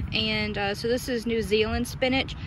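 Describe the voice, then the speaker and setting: A woman talks at a moderate pace. Noticeable background noise sits under a dry sound with no echo. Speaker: home gardener vlogger. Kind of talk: casual vlog chat. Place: garden. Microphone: phone near.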